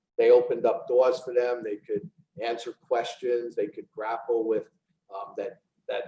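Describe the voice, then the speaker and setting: A moderate pace in a New York accent. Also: man. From New York City, the Bronx. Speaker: real estate executive. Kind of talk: casual interview.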